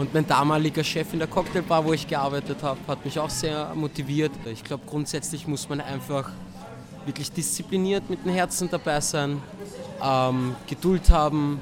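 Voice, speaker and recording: There is noticeable background noise as a man speaks at a moderate pace, with a fairly high pitch and fairly even intonation. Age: 20s. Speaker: dancer and dance teacher. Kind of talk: interview.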